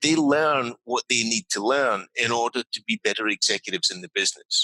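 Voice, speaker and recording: A man with a Scottish accent speaks in a bright, sharp tone, with a dry, close sound with no echo. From Scotland. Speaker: business leadership consultant. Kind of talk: interview.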